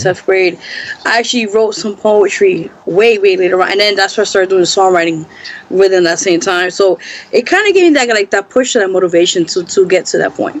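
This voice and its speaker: A woman with an American accent talks fairly quickly at a medium pitch. Her pitch variation is ordinary, and there is noticeable background noise. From New York City. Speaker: singer-songwriter and actress. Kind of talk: interview answer.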